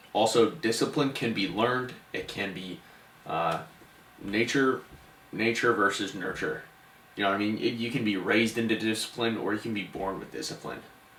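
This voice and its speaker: Noticeable background noise and audible room echo surround a man speaking at a moderate pace. His pitch is medium, with ordinary pitch variation. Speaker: podcast co-host. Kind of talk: casual podcast chat wrapping up episode. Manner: stuttering.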